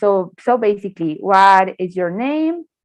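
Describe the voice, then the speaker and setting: With a Spanish accent and lively intonation, the voice comes through in a dry, close sound with no echo. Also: woman. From Colombia. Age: 20s. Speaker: English teacher. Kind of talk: online class.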